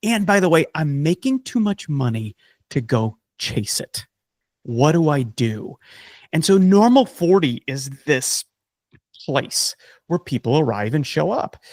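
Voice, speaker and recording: A man with an American accent speaks in an animated tone at a fairly slow pace, his fairly high pitch taking very wide swings, with long, frequent pauses. The recording is very clean with a silent background, and the sound is dry and close with no echo. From South Dakota, US Midwest. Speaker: author and coach. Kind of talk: podcast interview.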